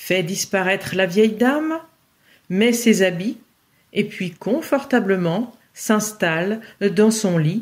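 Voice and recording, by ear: The speaker reads aloud in a natural voice, pitch varying in an ordinary way, with a quiet background.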